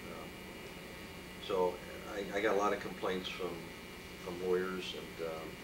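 With an American accent, a man talks at a moderate pace over loud background noise. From San Jose, California. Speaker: appellate judge. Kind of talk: oral history interview answer. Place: office. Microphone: camera far.

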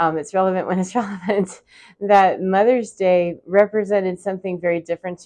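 In a quiet setting, a woman's dark, mellow voice keeps a fairly even intonation. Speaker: spiritual vlogger. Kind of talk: casual vlog chat. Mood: reflective, warm, laughing at times. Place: home room. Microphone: lapel.

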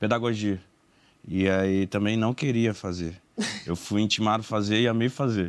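A man talks with ordinary pitch variation. His pace is moderate. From Belém, Pará, northern Brazil; Pará, Brazil. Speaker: podcaster. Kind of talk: casual interview chat. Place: studio.

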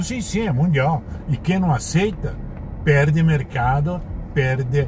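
A man talks with a fairly high pitch and ordinary pitch variation. His pace is moderate, and noticeable background noise is present. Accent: Italian. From Italy. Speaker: motorsport journalist. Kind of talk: interview answer. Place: car. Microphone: camera far.

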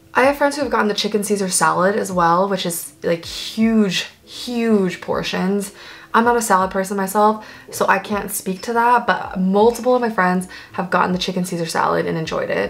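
Her pace moderate, a woman speaks with ordinary pitch variation. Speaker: food vlogger. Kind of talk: casual vlog chat. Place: home room.

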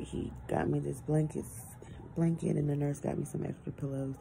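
A soft-spoken woman talks at a moderate pace. Light background noise can be heard. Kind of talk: casual vlog chat. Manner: sleepy, soft-spoken bedridden patient. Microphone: phone near.

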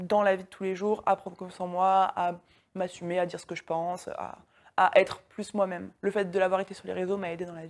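A normal speaking voice from a woman at medium pitch and moderate pace, on a very clean recording with a silent background. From France. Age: 20s. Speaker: online business coach. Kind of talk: interview.

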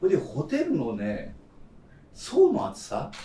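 A man talks in a room with audible echo, with light noise in the background. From Kyushu, Japan; Japan. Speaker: veteran chef. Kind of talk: roundtable discussion. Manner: long-winded. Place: cafe.

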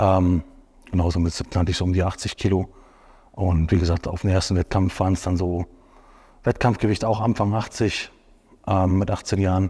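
A man speaks at a moderate pace with a very deep, low pitch. His voice is somewhat breathy, and his intonation stays fairly even. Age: 30s. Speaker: professional bodybuilder. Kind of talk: casual chat. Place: studio. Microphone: lapel.

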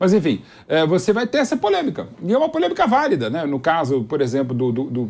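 A man with a Brazilian accent at a very fast pace, his high pitch moving in very wide swings. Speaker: football pundit. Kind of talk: casual chat. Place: studio. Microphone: lapel.

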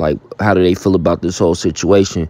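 The sound is dry, with no echo. A man speaks in a dark, mellow tone. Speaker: host. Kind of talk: casual intro to a hip-hop news clip. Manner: casual, conversational. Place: home room.

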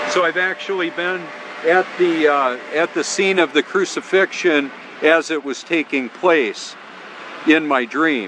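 Against noticeable background noise but with a dry sound and no echo, a man speaks at a fairly slow pace in a fairly high pitch with ordinary pitch variation. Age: 50s. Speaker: YouTube channel creator. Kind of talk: religious monologue to camera. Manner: halting, many fillers. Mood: earnest, preaching. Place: beach. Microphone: phone near.

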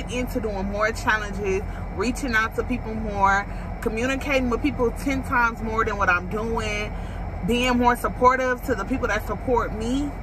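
With fairly even intonation and a moderate pace, a woman talks in a dry sound with no echo, though noticeable background noise is present. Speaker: vlogger. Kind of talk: casual vlog chat. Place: car. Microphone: phone near.

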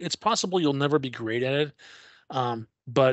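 At a moderate pace, a man speaks over a quiet background with a dry sound and no echo. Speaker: podcast host. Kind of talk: casual interview. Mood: relaxed, reflective advice. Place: home room. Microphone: video call.

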